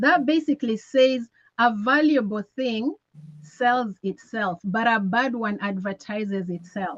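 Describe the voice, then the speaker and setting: A somewhat breathy woman with an East African accent speaks at a fairly slow pace with ordinary pitch variation. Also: fairly high pitch for a woman, dry, close sound with no echo. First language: Swahili. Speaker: network marketing presenter. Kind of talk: motivational sales talk.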